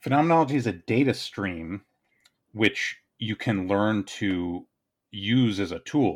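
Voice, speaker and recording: In a very clean recording with a silent background, a man with a fairly low pitch speaks with lively intonation. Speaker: writer and video creator. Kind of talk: casual chat. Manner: fast.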